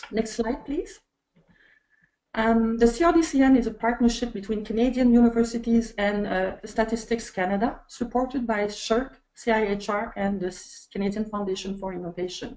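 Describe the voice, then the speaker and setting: A woman with a French accent speaks at a moderate pace in a fairly high voice with a dark, mellow tone and ordinary pitch variation. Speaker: webinar moderator. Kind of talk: casual pre-show chat; webinar introduction. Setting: online webinar. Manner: halting.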